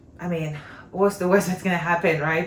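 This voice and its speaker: A woman with a French accent speaks in a fairly low pitch. Her intonation stays fairly even over noticeable background noise. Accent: non-native English accent, French-speaking. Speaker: homeschooling mom, vlogger. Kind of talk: casual vlog talk. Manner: conversational, with fillers and false starts.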